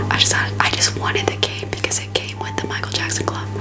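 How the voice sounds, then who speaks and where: Whispering and soft-spoken, a woman speaks at a very fast pace over noticeable background noise. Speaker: ASMR content creator. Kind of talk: ASMR haul video, casual talk to camera. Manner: chatty, playful; whispered, soft-spoken.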